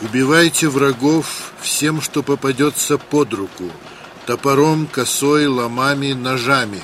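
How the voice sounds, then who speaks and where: Speaking at a very slow pace, a man with a fairly high pitch shows ordinary pitch variation over noticeable background noise. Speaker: documentary narrator reading quoted documents. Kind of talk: history documentary narration, reading aloud documents and diary excerpts. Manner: dry, matter-of-fact reading of figures and reports.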